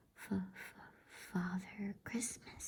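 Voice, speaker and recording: A raspy, female-sounding put-on character voice at a medium pitch for a woman. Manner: stammering, frightened.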